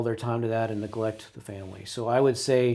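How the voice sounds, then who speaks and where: In a very clean recording with a silent background, a man speaks at medium pitch and a fairly quick pace. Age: 60s. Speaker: business owner. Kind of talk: interview. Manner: halting.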